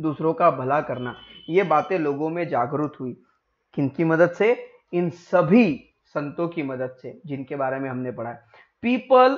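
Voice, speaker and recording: Pausing long and often, a man speaks very slowly in a fairly high voice, his intonation lively and his loudness swinging widely. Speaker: online teacher. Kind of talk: lecture. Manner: code-switching Hindi and English.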